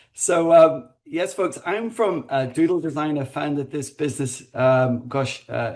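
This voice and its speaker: Hardly pausing at all, a man speaks at a fairly slow pace and a fairly high pitch with ordinary pitch variation. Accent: Northern Irish. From Northern Ireland. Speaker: design consultancy founder. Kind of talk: webinar panel introduction.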